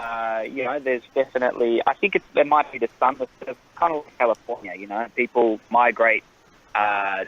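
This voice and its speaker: With an Australian accent, a man talks at a moderate pace and fairly even intonation in a dry, close sound with no echo. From Australia (born in Sweden). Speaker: TV actor. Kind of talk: interview. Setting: phone call. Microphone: connection drops.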